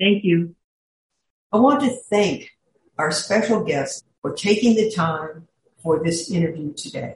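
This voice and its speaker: A woman's somewhat breathy, medium-pitched voice with lively intonation, a fairly slow pace, and long, frequent pauses. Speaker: podcast host, executive coach. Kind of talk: scripted intro and outro.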